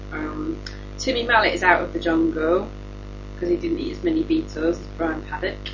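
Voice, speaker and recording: A woman talking at a fairly quick pace, with music in the background and audible room echo. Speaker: news comedy podcast host. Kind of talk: casual comedic news chat. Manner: giggly.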